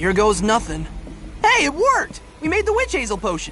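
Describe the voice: A cartoonish character voice with very wide pitch swings, a fairly bright tone and a moderate pace over faint background music. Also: man, extremely high pitch for a man.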